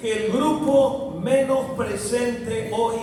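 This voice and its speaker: A man's high-pitched voice at a very slow pace, with audible room echo and noticeable background noise. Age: 80s+. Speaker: pastor. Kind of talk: sermon.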